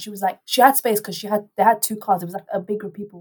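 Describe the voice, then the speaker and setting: An animated, somewhat breathy woman's voice at medium pitch and a very fast pace. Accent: London. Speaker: student radio host. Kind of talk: casual chat.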